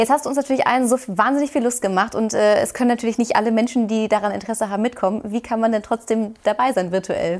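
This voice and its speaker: Over noticeable background noise, the speaker goes very fast with hardly any pauses, very even loudness and fairly even intonation. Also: woman, fairly high pitch for a woman. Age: young. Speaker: TV presenter and interviewer. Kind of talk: interview.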